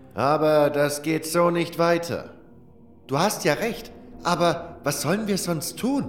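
A man with a high pitch and ordinary pitch variation speaks at a very slow pace. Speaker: audiobook narrator, voice actor. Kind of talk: audiobook fiction reading, first-person fantasy narration.

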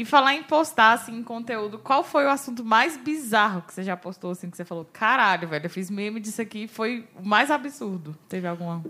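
A woman's ordinary speaking voice, fairly high in pitch, at a fairly quick pace with hardly any pauses, lively intonation and big swings in loudness. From Brazil, Ceilândia (Federal District). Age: 20s. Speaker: podcast co-host. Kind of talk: casual chat.

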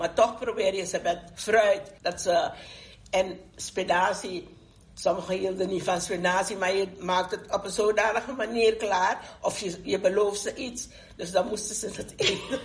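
Somewhat breathy and at medium pitch, a woman speaks at a fairly slow pace. Her intonation is fairly even. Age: 70s. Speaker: grandmother and community activist. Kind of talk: group discussion.

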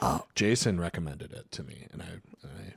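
Vocal fry runs through this man's speech at a moderate pace. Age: 30s. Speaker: podcast co-host and teacher. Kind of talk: casual chat.

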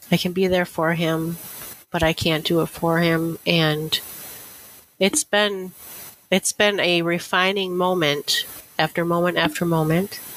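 This voice with an Upper Midwest accent keeps a fairly slow pace, broken by long, frequent pauses. Its loudness stays very even and its intonation is monotone and flat. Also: woman, fairly low pitch for a woman. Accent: Upper Midwest American. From northwestern Wisconsin. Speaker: library director. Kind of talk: interview conversation.

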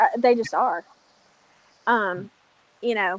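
The recording is dry and close with no echo, carrying a woman's fairly high voice in an American accent. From North Carolina mountains. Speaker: cigar reviewer. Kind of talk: interview.

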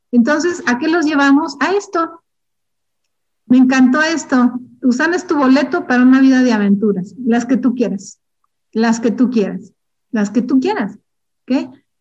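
A high-pitched woman speaks with lively intonation, leaving long, frequent pauses. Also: moderate pace. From Durango, Mexico. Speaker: network marketing distributor. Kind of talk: motivational training talk. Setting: internal training session.

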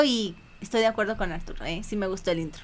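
A woman with a fairly high pitch talks. Her pace is very fast. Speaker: podcast guest. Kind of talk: casual chat.

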